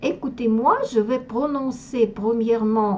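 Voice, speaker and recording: This woman speaks with a Russian accent and a fairly high pitch. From Russia, Moscow. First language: Russian (speaking French). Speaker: language teacher. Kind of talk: tutorial. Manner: halting, with hesitations.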